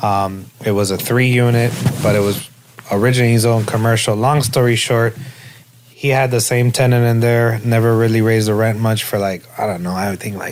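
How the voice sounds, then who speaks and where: Over noticeable background noise, a man with an American accent talks at a fairly quick pace with fairly even intonation. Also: medium pitch for a man. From Miami, Florida (Hialeah). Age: 30s. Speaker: real estate lending specialist. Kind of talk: interview. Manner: casual.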